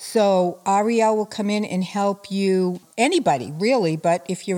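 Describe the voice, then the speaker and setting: This woman has an ordinary speaking voice, medium in pitch with ordinary variation, captured in a very clean recording over a silent background. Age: 60s. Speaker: spiritual healer and life coach. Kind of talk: interview.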